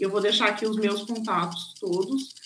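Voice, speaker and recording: A woman's medium-pitched voice at a moderate pace, with fairly even intonation, over noticeable background noise. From southern Brazil (Rio Grande do Sul). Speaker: nurse. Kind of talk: online course talk and Q&A.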